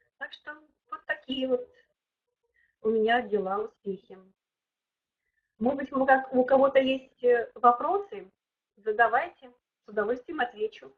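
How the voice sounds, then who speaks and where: With a high pitch and ordinary pitch variation, a woman talks at a fairly slow pace, with big swings in loudness and long, frequent pauses. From Siberia, Russia (Kemerovo). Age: 60s. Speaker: network marketing director. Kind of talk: webinar testimony and Q&A. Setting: online webinar. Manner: hesitant, with fillers and restarts.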